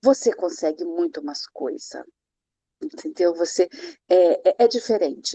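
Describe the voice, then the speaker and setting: A woman's dark, mellow tone comes through with a dry, close sound with no echo. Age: 60s. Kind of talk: online mentoring class. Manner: informal, conversational.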